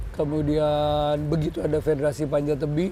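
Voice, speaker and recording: A man speaks with a fairly high pitch. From West Java (Bandung). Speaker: rock climbing official. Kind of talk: interview. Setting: competition venue.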